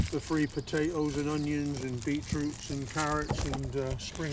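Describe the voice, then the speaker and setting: Amid noticeable background noise and audible room echo, a man with a West Country accent speaks at a moderate pace. His pitch is fairly high and his intonation is monotone and flat. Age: 80s+. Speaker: retired allotment gardener. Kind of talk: casual interview. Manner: halting.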